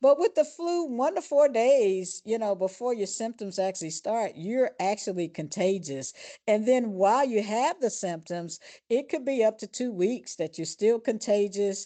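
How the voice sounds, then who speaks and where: A woman speaks with a dark, mellow tone at a fairly high pitch. Her pitch swings very widely against a quiet background. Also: moderate pace. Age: 70s. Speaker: physician, clinical director. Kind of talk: interview. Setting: podcast. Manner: hesitant, many fillers.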